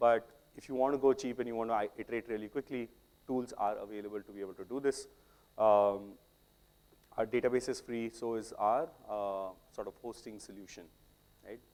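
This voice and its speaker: A man with an Indian accent speaks at a fairly quick pace and medium pitch, with fairly even intonation. His loudness swings widely, and he takes long, frequent pauses. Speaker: software tech lead, conference speaker. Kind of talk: technical talk.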